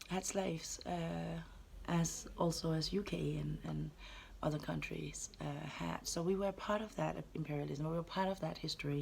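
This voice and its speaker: A woman with a Danish accent at a moderate pace. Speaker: anti-racism educator. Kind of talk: vlog monologue. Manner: halting.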